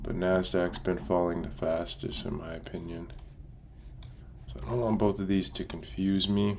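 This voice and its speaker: A man with a very deep, low pitch speaks quietly at a moderate pace, with ordinary pitch variation and audible room echo. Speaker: day trader streamer. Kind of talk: live trading stream. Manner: casual.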